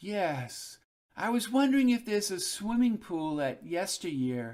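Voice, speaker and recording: A man puts on a character voice, pitched high. It moves at a moderate pace with very wide pitch swings. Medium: read story.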